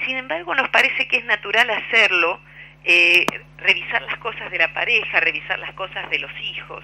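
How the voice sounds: A woman speaks at a moderate pace with lively intonation and a bright, sharp tone.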